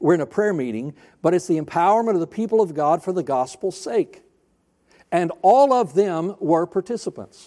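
With a Southern US accent, a man speaks at a moderate pace in a high, dark, mellow voice with lively intonation. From US South (North Alabama, then Florida). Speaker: pastor. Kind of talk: sermon. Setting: church.

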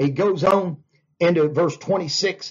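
A man talks in an animated tone. His pitch is high. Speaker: pastor. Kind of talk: Bible study sermon, preaching with scripture reading. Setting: church Bible study, Wednesday night. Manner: animated, fervent, punctuated with 'hallelujah'.

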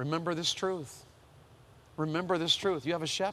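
A man with an American accent talks at a moderate pace, his voice high-pitched for a man and his intonation fairly even. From US South. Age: 50s. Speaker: preacher. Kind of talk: sermon. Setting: chapel with audience.

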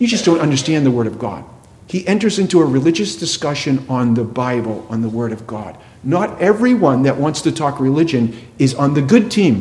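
A man with a fairly high pitch, very wide pitch swings and a fairly quick pace, in a space with audible room echo. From New England. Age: 50s. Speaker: pastor. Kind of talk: sermon.

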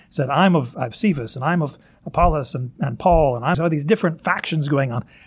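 A man speaks at a fairly high pitch, somewhat breathy. His pitch shows ordinary variation. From Northern Kentucky, US. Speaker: pastor. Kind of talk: sermon. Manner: halting, with many fillers.

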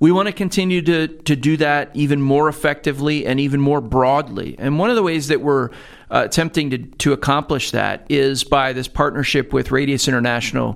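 A man speaks in a plain, everyday voice, pitched fairly high for a man. He talks at a fairly quick pace with hardly any pauses and ordinary pitch variation. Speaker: seminary president. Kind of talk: interview. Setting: studio.

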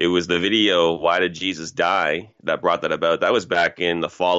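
In a Canadian accent, a man talks with hardly any pauses, a very deep, low pitch, very even loudness and a monotone, flat intonation. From Canada, Toronto (Scarborough, Ontario). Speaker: pastor. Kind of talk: interview.

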